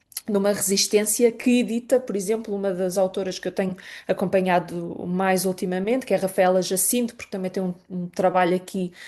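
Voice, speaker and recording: A woman's medium-pitched voice with a dark, mellow tone at a moderate pace, over a quiet background. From Portugal, Lisbon. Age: 30s. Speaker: poet and writer. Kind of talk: interview. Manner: halting, many fillers and repetitions.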